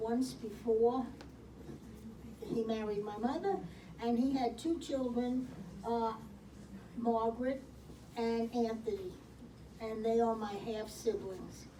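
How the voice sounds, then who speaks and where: A woman with a Brooklyn accent, fairly high-pitched, very slow and fairly even in intonation, with audible room echo and noticeable background noise. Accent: New York (Brooklyn). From Brooklyn, New York. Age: 70s. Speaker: senior program participant. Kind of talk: life story presentation. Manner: halting.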